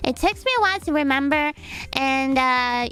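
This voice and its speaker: A woman puts on a character voice with a bubbly tone. She is high-pitched and keeps a moderate pace. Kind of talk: playful vtuber lore roleplay. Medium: virtual streamer. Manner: bubbly, rambling, easily flustered.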